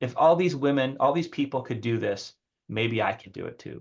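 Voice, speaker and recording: With ordinary pitch variation, a man talks in a fairly high, somewhat breathy voice. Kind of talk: casual discussion. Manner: fast; animated.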